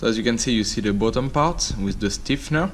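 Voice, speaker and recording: A man speaks with a French accent at a moderate pace. Audible room echo can be heard. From France. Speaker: engineering lecturer. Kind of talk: tutorial. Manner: halting, many fillers.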